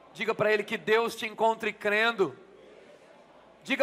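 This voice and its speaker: At a moderate pace, a man projects a raised voice with an extremely high pitch and a bright, sharp tone. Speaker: pastor. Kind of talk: sermon. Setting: church.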